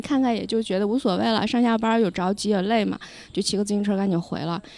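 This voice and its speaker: This woman talks at a very fast pace with a dark, mellow tone. Her pitch is medium, with ordinary pitch variation. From Lanzhou, northwest China. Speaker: podcast guest. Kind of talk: casual chat. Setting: outdoors by a river.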